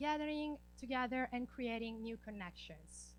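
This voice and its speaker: Room echo is audible as a woman talks at a fairly slow speed. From Italy. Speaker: graduate student and project coordinator. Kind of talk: conference presentation.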